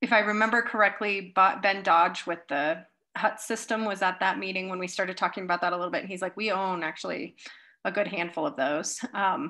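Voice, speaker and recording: Her tone is bright and sharp, with ordinary pitch variation. A woman speaks at a fairly quick pace against a quiet background. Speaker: presenter. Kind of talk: meeting presentation. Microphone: video call.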